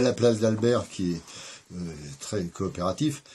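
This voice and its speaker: A man's dark, mellow tone. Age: 60s. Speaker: interviewee recounting his life. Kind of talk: life story interview. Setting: at home. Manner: hesitant, many fillers.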